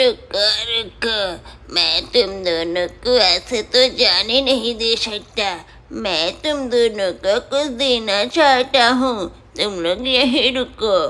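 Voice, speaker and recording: A female-sounding cartoonish character voice moves at a very slow pace with a fairly high pitch. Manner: gentle, thankful.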